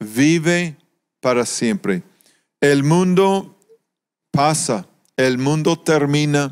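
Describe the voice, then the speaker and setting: A man speaks very slowly in a fairly high pitch, with ordinary pitch variation. His delivery has long, frequent pauses. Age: 60s. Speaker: pastor. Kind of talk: sermon.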